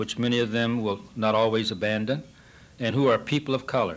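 A man talks at a very fast pace in a Pacific Northwest accent. His intonation stays fairly even. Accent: American, Pacific Northwest. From US Pacific Northwest, Portland, Oregon; Oregon. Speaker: newspaper editor. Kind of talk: speech. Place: hall. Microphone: podium.

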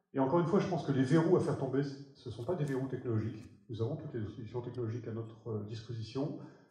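A man speaks fast at a medium pitch, with a dark, mellow tone and ordinary pitch variation. Strong room echo surrounds his voice.

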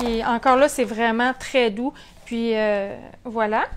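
A woman speaks with a Quebec accent at a very slow pace. Light background noise is audible. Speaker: sewing shop owner; sewing instructor. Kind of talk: tutorial. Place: workshop. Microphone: lapel.

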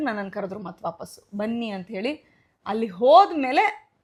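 Fairly high in pitch with lively intonation, a woman talks in an ordinary speaking voice. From India, Bengaluru. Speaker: actress. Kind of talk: interview.

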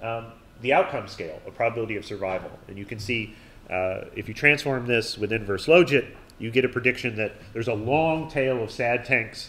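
A man at a moderate pace, lively intonation and audible room echo. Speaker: university lecturer. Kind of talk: lecture. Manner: many fillers and false starts.

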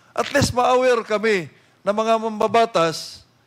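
Against a quiet background, a man with a high-pitched voice speaks at a fairly slow pace. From Philippines. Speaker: legislator questioning a witness; witness. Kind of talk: congressional hearing interrogation. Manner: loud. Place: hall. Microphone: podium.

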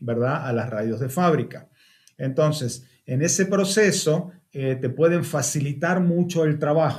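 A man speaks at a very slow pace with lively intonation and a somewhat breathy voice. The background is quiet. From Argentina. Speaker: car audio engineer; car audio trainer. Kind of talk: webinar presentation. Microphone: webcam.

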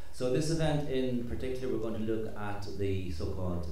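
Audible room echo and light background noise surround a man speaking at a moderate pace with ordinary pitch variation. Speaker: event host. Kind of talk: panel introduction. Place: hall.

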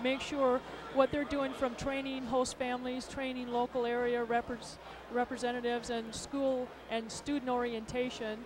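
A woman's high voice with monotone, flat intonation over noticeable background noise. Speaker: sports association administrator. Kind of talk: interview. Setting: arena broadcast booth. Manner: halting.

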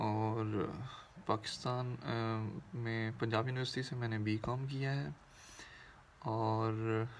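A man speaks at a very slow pace with long, frequent pauses and fairly even intonation, over light background noise. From Pakistan, Faisalabad (Punjab); Punjab, Pakistan. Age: 30s. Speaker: workshop participant. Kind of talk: recorded self-introduction message. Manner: halting. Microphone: phone near.

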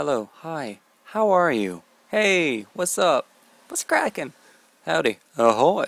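In a relaxed tone, a man's voice moves through very wide pitch swings, its sound dry with no echo. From British Columbia, Canada. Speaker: vlogger. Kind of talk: casual talk to camera, word list reading. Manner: casual, relaxed. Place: home room. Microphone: earbuds.

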